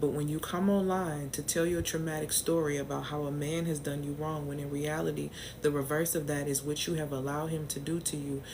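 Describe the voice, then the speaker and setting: Speaking at a fairly quick pace with hardly any pauses, a woman with an American accent uses a very deep, low pitch amid audible room echo. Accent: New Orleans accent at times. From US South, New Orleans. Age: 40s. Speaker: business and mindset coach. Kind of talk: live stream talk to viewers. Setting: livestream. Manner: animated.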